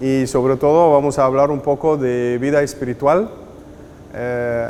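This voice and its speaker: This man speaks at a fairly slow pace with a non-native accent and a medium pitch. There is audible room echo along with noticeable background noise. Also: fairly even intonation. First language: not Spanish; Spanish is fifth language (speaking Spanish). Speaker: spiritual director teacher. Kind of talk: lecture.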